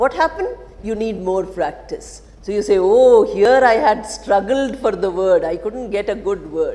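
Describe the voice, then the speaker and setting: A woman with a fairly high voice and ordinary pitch variation talks at a moderate pace against noticeable background noise. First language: an Indian language other than Telugu. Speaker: English teacher. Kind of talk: lecture.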